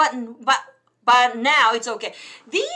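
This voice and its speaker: A bright, sharp tone comes through. Behind it, the background is quiet. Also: woman. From Japan. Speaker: English tutor and YouTuber; English tutor, YouTuber. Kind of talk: bilingual live stream chat. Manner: code-switching English and Japanese. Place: home room. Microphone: webcam.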